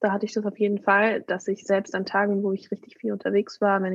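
Her pitch sits in the middle range, and the woman talks fairly quickly. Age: 20s. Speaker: violinist. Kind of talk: interview.

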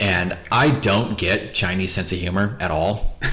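A man with an American accent and a very deep, low pitch, over noticeable background noise. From Montana, US. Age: 20s. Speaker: English teacher. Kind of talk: casual chat. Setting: home kitchen.

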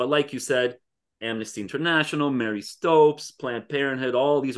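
Against a quiet background, a man speaks fairly quickly at a medium pitch with ordinary pitch variation. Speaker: podcast co-host. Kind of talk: casual chat. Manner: hesitant, many filler words.

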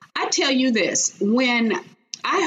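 A woman speaks with an American accent. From Chicago, US Midwest. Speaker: corporate executive and author. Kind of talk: interview.

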